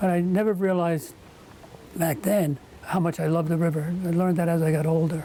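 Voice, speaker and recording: A man talks at a fairly quick pace with a high pitch and monotone, flat intonation. His loudness stays very even against noticeable background noise. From northern New Jersey, Bergen County. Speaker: oral history interviewee. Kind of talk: oral history interview. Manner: halting, with fillers.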